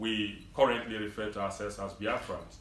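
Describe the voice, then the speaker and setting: This is a man speaking with a Nigerian accent. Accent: Nigerian English (Igbo). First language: Igbo. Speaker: community leader. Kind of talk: public speech. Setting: event hall with audience.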